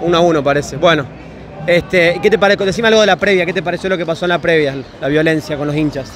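Over noticeable background noise, a man talks at a very fast pace in an animated tone. His pitch variation is ordinary. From Salta, northwestern Argentina. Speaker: YouTuber doing fan reaction interviews. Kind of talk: vox-pop street interviews with on-camera commentary. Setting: crowded football bar in Buenos Aires.

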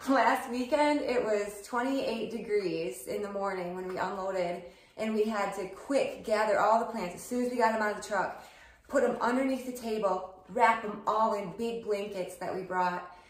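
The speech comes at a moderate pace with ordinary pitch variation and audible room echo. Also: woman. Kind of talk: casual vlog chat. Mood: cheerful, chatty. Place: kitchen.

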